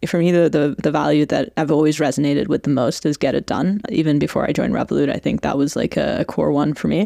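A woman with a Canadian accent talks at a very fast pace with hardly any pauses and very even loudness, the sound dry and close with no echo. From Iran and Canada. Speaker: fintech product executive. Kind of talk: casual interview. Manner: frequent laughter.

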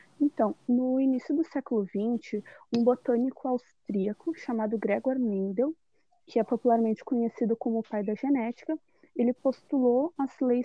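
High-pitched speech from a woman at a moderate pace. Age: 20s. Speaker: biology student. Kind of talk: student presentation, read script.

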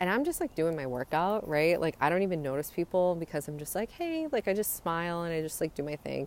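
A woman's warm, fairly low voice at a very fast pace with hardly any pauses and ordinary pitch variation, on a very clean recording with a silent background. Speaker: podcaster giving a daily motivational talk. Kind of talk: pep talk. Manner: warm, encouraging, conversational.

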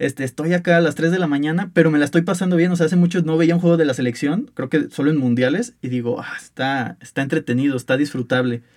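Talking very fast with hardly any pauses, a man uses a fairly high pitch and ordinary pitch variation. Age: 20s. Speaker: university student sports podcast host. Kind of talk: casual sports debate.

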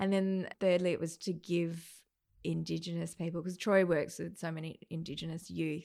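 A woman's dark, mellow tone in an Australian accent, monotone and flat, at a moderate pace. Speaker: events company owner. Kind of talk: casual chat.

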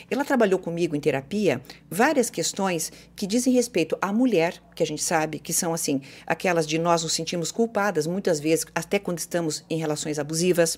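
Here is a woman with an unremarkable speaking voice, fairly low in pitch with ordinary pitch variation. She moves at a fairly quick pace on a very clean recording with a silent background. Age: 50s. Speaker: psychologist and former radio host. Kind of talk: casual chat.

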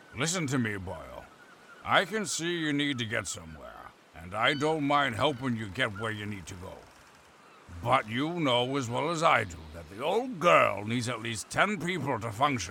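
A gruff, put-on character voice speaks at a moderate pace. Its pitch swings very widely. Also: man, medium pitch for a man. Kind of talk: pirate talk. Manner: gruff, hearty, seafaring slang.

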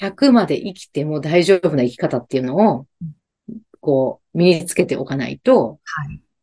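A fairly low, dark, mellow female voice at a fairly slow pace. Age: 50s. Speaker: business owner and podcast host. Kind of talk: casual interview chat.

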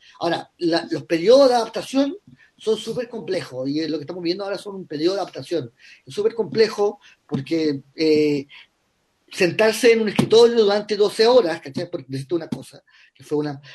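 Speaking fairly quickly in a high voice, a man uses lively intonation with big swings in loudness. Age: 50s. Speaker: writer and screenwriter. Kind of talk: interview. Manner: halting, many repetitions.

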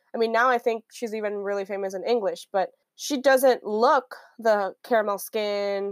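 A woman's fairly high voice at a moderate pace, fairly even in intonation, with a dry, close sound and no echo. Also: very clean recording, silent background. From Miami, Florida. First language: Spanish. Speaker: podcast co-host. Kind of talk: casual chat.

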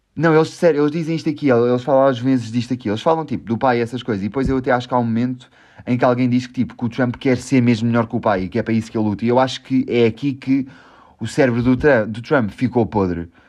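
Speaking at a very fast pace with a European Portuguese accent, a man uses a medium pitch with ordinary pitch variation. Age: 20s. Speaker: podcast host. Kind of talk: casual chat. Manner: calm.

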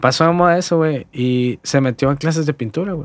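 This man's words come very fast on a very clean recording against a silent background. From Hermosillo, Sonora, northern Mexico. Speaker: graphic designer and lettering artist. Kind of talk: casual chat. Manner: relaxed, slangy.

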